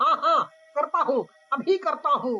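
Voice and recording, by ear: A put-on character voice in a bright, sharp tone moves at a fairly slow pace with big pitch swings. Faint music plays in the background. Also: man.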